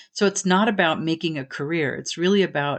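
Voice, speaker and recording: Her voice very deep and low, a woman speaks at a moderate pace with ordinary pitch variation. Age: 60s. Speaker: podcast host and aspiring voice actor. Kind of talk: solo podcast monologue. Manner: casual with frequent fillers. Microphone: home setup not professional sounding.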